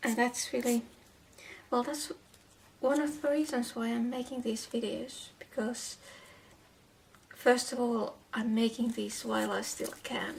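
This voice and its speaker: A woman speaks in a high voice with a non-native accent. She takes long, frequent pauses over noticeable background noise. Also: fairly slow pace. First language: not English. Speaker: doll shoe crafter and translator. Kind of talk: tutorial with personal talk. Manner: halting, repeats words.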